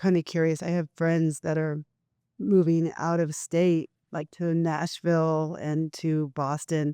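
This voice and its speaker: The pace is fairly slow. The background is quiet. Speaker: audience member. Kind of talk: audience question. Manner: loud.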